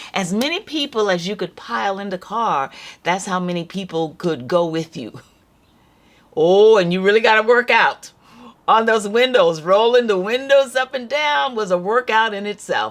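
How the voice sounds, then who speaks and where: The speaker has a Southern US accent, lively intonation and a moderate pace. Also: woman, medium pitch for a woman. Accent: Southern American English. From North Carolina, USA. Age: 70s. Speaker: storyteller. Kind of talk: casual talk to camera.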